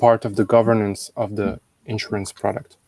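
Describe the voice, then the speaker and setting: Speaking at a moderate pace with a French accent, a man with a medium pitch comes across in a dry, close sound with no echo. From France. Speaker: blockchain lead at an insurance company. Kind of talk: interview. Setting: live stream.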